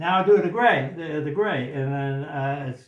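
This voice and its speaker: There is noticeable background noise as a man with a fairly high pitch speaks at a fairly slow pace. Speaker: painting instructor. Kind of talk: live painting demonstration. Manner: halting, many repetitions.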